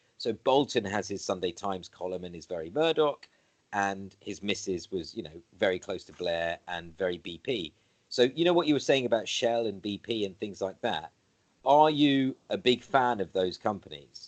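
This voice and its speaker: With a slight British accent, a man speaks at a fairly low pitch, his intonation lively and his loudness swinging widely. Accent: slightly BBC. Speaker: interviewer. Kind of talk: casual conversation. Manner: halting, many fillers.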